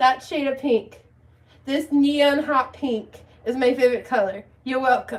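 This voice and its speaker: A woman's loud, high-pitched voice at a fairly slow pace with fairly even intonation. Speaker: livestreamer. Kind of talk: casual chat. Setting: livestream with chat.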